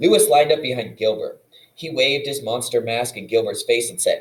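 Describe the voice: What you hear is plain reading aloud.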